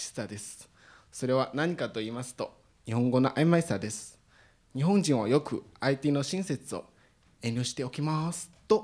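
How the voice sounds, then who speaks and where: A fairly slow pace in a Chinese accent. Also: man. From China, Shanghai. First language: Chinese (speaking Japanese). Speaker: international student. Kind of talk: prepared speech.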